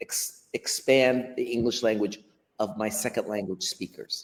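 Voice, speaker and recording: A man's voice at a moderate pace. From US Pacific Northwest (Portland, Oregon). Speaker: history and ESL teacher. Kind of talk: live stream interview. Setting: live stream video call.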